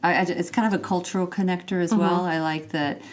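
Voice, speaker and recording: A woman with an American accent talks at a fairly low pitch with ordinary pitch variation in an unremarkable speaking voice. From Texas, USA. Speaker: fashion PR agency founder. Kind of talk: interview answer.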